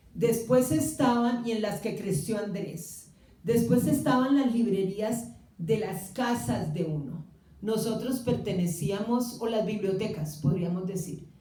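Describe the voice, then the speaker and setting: A woman at a fairly high pitch with lively intonation and a very slow pace, amid noticeable background noise and audible room echo. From Colombia, Cali. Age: 60s. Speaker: writer's sister speaking about his reading. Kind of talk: public talk with audience. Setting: small theatre with live audience. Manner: hesitant, many fillers.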